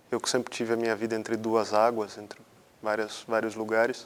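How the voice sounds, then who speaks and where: This man speaks at a medium pitch. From Brazil, São Paulo state interior (Botucatu). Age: 30s. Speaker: interviewee. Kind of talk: personal testimony. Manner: halting, with repetitions.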